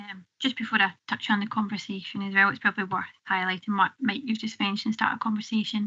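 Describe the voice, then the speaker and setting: A woman with a Scottish accent talks at a very fast pace. Her pitch is medium and her intonation fairly even. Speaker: public health officer. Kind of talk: committee briefing. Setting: council committee room.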